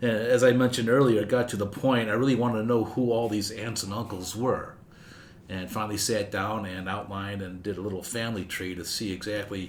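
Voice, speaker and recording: With an American accent, a man speaks at a fairly quick pace in a fairly low pitch and fairly even intonation, with audible room echo and noticeable background noise. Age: 70s. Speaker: family historian guest. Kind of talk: interview storytelling.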